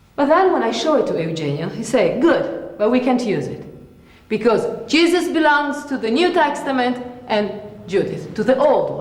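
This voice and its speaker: Her pitch high and swinging very widely, a woman speaks amid noticeable background noise and audible room echo. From Italy. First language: Italian. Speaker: theatre actress. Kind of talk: lecture-demonstration.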